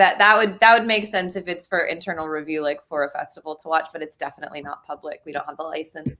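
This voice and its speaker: A woman's very fast talk in a Midwestern US accent, fairly low in pitch with ordinary variation, big swings in loudness and hardly any pauses. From rural Ohio. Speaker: filmmaker. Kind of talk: casual interview.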